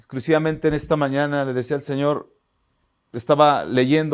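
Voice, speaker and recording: A man speaks at a fairly high pitch with monotone, flat intonation. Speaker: pastor. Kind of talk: sermon. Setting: online church service.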